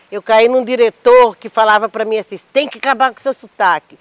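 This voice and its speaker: At a moderate pace, a woman speaks in a fairly high pitch with fairly even intonation and a dry, close sound with no echo. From Mato Grosso, Cuiabá, Brazil. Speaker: poet and actress. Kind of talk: panel discussion.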